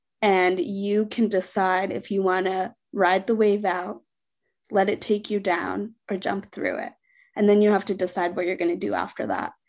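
A woman with an American accent speaks in a normal speaking voice at medium pitch. She keeps a moderate pace and fairly even intonation over a quiet background. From Sri Lanka, raised later in US. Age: 20s. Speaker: foster care alumna and author. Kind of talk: interview testimony.

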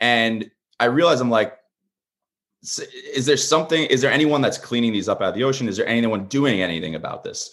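With an American accent, a man talks at a fairly quick pace, his medium pitch carrying lively intonation and vocal fry. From Long Island, New York. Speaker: marine conservationist and small business owner. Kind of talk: interview conversation.

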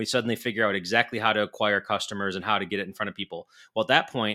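At a very fast pace, a man speaks at a fairly low pitch with a bright, sharp tone and fairly even intonation, on a very clean recording with a silent background. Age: 40s. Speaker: podcast co-host. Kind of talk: casual chat.

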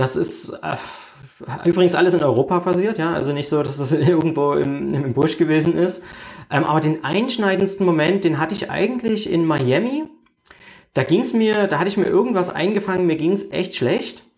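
A man with a high pitch talks at a moderate speed, his pitch varying in an ordinary way. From Germany. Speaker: internet marketer. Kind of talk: interview. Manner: hesitant with frequent fillers.

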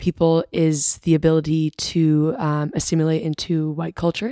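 A woman with a plain, everyday voice and an American accent speaks at a fairly low pitch with fairly even intonation, in a dry, close sound with no echo. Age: 20s. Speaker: university student. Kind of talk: casual chat.

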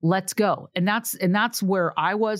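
A woman with an American accent speaks at a moderate pace and medium pitch, recorded very cleanly against a silent background. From California, Sacramento. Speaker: investigative reporter. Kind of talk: casual interview.

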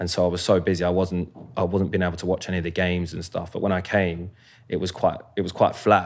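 Very deep and low in pitch, a man with a London accent speaks at a very fast pace in a monotone, flat intonation on a very clean recording with a silent background. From South London, Croydon. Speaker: professional footballer. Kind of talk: casual chat.

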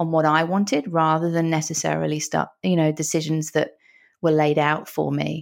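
A woman's very deep, low voice at a moderate pace, in a very clean recording with a silent background. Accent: English. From London, England. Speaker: psychologist and author. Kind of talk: interview conversation.

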